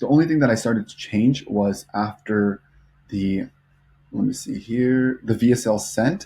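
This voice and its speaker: The man's tone is dark and mellow, with a fairly low pitch. He keeps a moderate pace and ordinary pitch variation. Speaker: social media marketing agency owner, vlogger. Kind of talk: casual vlog and screen-share tutorial. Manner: mumbling, lots of fillers; unscripted, off the cuff.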